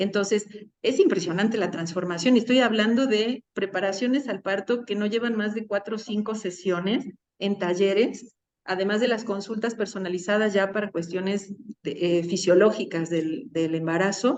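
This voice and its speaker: This woman talks at a moderate pace and a medium pitch. Her pitch varies in an ordinary way. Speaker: midwifery and birth care worker. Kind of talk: interview.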